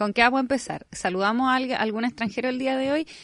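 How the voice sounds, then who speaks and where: A woman speaks with a Chilean accent. The background is quiet. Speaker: podcast host. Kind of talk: casual chat.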